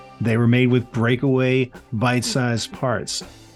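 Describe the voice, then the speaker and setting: With music in the background, the speaker talks at a fairly slow pace with an American accent. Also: man. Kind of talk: casual podcast talk.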